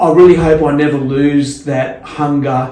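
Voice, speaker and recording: Flat, monotone speech in an Australian accent comes at a very slow pace, with noticeable background noise and audible room echo. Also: man. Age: 50s. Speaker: skateboarder and skate photographer. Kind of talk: casual chat. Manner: halting, many repeated words.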